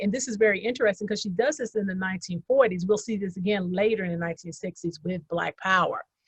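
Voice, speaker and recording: A woman with a somewhat breathy voice at a medium pitch speaks with ordinary pitch variation, recorded dry and close with no echo. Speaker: historian panelist. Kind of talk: lecture-style slide presentation.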